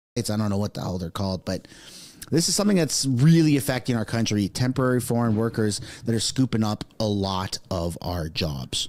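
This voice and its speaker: A fairly low-pitched man at a fairly quick pace, with lively intonation. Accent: Quebec. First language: French. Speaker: political commentator streamer. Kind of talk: live stream commentary.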